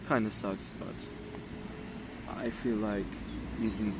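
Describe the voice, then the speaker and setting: A man with a fairly low pitch swings his pitch very widely. Audible room echo and noticeable background noise fill the recording. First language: not English. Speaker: vlogger. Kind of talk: personal vlog monologue. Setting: outdoors. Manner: halting.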